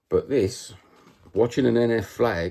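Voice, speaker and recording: In a Cockney accent, a man speaks. His tone is animated. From London (East End, Cockney). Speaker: football vlogger. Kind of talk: casual monologue vlog. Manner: animated, repetitive.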